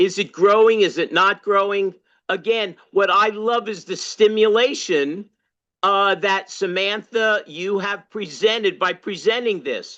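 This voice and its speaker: Against a quiet background, a woman talks at a fairly slow pace and a medium pitch, with ordinary pitch variation. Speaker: longtime party activist and former candidate. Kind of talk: open discussion in online workshop. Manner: loud; halting, many fillers.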